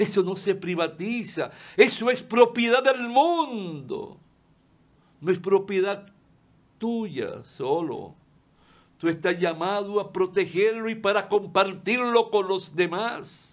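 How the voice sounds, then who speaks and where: Speaking at a very slow pace, a man with a high voice uses ordinary pitch variation. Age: 70s. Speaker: lawyer and TV commentator; lawyer, TV commentator. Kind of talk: opinion monologue. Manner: impassioned. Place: studio.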